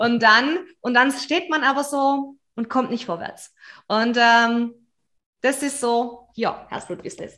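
A woman's high, bright, sharp voice at a very slow pace, with ordinary pitch variation and a quiet background. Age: 40s. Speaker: business mentor. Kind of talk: interview.

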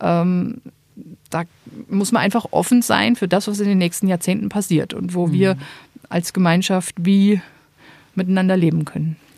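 A woman with a medium pitch and fairly even intonation talks at a moderate pace, with long, frequent pauses. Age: 30s. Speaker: Benedictine nun. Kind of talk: interview.

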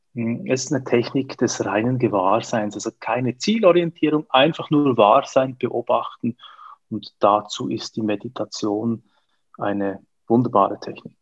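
In a dry, close sound with no echo and a quiet background, a man with an ordinary speaking voice talks fairly slowly at medium pitch with ordinary pitch variation. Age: 40s. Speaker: coach. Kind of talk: interview.

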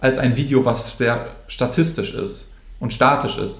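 A man with vocal fry talks at a fairly slow pace, medium pitch, and fairly even intonation, with room echo audible. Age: 20s. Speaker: social media influencer. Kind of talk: interview.

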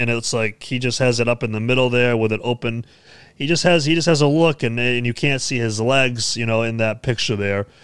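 With an American accent, an ordinary speaking voice moves at a fairly quick pace with fairly even intonation. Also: man, medium pitch for a man. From United States. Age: 20s. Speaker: music news show host and metalcore musician. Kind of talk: casual news commentary to camera. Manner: casual, many filler words.

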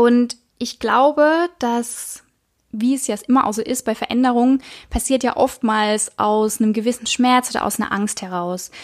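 In a very clean recording with a silent background, a woman speaks at a moderate pace in a high pitch. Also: ordinary pitch variation. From Baden, southwest Germany. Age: 20s. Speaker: podcast host, spiritual life coach. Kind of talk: casual monologue. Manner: halting, many fillers.

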